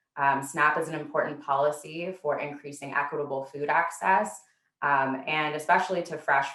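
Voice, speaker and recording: Fairly even intonation carries this woman's very deep, low voice. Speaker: policy researcher. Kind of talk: presentation. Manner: fast.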